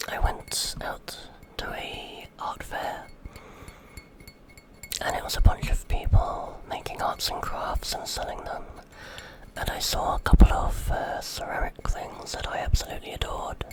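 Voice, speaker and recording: Whispered speech, broken by long and frequent pauses, comes through noticeable background noise. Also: fairly slow pace. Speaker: ASMR creator. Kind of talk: ASMR rambling talk to the microphone. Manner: whispered, intimate.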